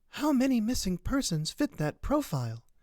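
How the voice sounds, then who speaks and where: A put-on character voice is pitched fairly high. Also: moderate pace. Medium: read story.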